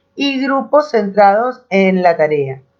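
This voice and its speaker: With a Rioplatense accent, a woman speaks at a fairly high pitch. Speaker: teacher. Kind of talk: lecture.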